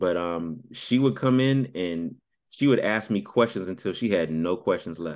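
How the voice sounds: Speaking with ordinary pitch variation, a man uses a low pitch. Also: moderate pace, slightly mellow tone.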